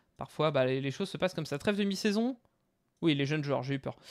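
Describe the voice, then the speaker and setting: A man's intonation rises and falls in a lively way, with a quiet background behind him. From western France (Tours, Angers, Pays de la Loire); western France. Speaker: video game YouTuber. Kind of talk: gameplay commentary. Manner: casual, conversational. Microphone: headset.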